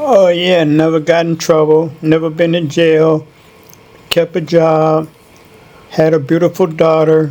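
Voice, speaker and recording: This man has a Chicago accent and a fairly high pitch, speaking at a fairly slow pace. His intonation is flat and monotone, broken by long, frequent pauses. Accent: Chicago American. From Chicago, North Side. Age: 60s. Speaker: interviewee. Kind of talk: interview. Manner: brief answers.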